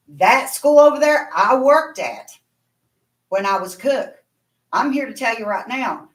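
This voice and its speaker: A woman with a high pitch and ordinary pitch variation speaks with long, frequent pauses and big swings in loudness. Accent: Appalachian. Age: 60s. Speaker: parent speaking at public comment. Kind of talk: public comment at board meeting.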